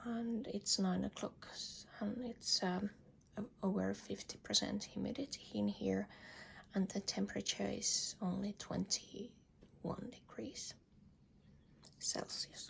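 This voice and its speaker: A whispering woman at a very slow pace, with long, frequent pauses. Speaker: orchid hobbyist video maker. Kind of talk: casual plant tour talk. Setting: balcony. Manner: halting with repetitions.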